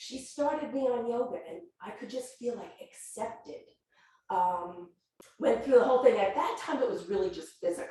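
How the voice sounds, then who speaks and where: A woman talks at a moderate pace in a dark, mellow tone. Room echo is audible. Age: 60s. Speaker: yoga student and volunteer yoga teacher. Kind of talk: sharing circle testimony. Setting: yoga studio group circle.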